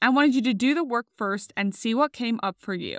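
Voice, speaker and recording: A woman's high-pitched voice comes through in a very clean recording with a silent background. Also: dry, close sound with no echo. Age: 30s. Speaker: podcast host. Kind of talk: solo podcast monologue.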